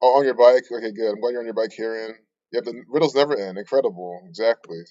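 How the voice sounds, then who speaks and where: With big swings in loudness and ordinary pitch variation, a man talks at a very fast pace. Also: medium pitch for a man. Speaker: conspiracy livestreamer. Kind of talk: casual livestream chat. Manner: mumbles words sometimes.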